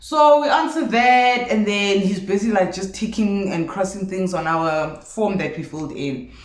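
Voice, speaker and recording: A woman speaks at a moderate pace and medium pitch in an animated tone, her pitch swinging very widely amid audible room echo. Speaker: vlogger. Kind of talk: storytime vlog.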